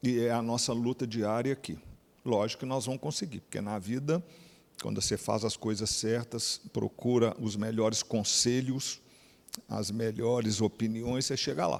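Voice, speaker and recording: A man with a plain, everyday voice speaks at a moderate pace and a medium pitch, with ordinary pitch variation. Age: 60s. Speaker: company executive. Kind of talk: speech to an event audience. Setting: stage with audience.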